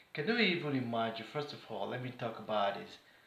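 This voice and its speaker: Over noticeable background noise and audible room echo, a man talks at a moderate pace with ordinary pitch variation. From Nigeria. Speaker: vlogger. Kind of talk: political commentary monologue. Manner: animated.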